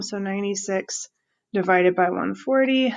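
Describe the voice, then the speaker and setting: Here a woman uses an ordinary speaking voice at medium pitch. She talks at a fairly slow pace. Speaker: math teacher. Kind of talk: tutorial. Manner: many filler ums.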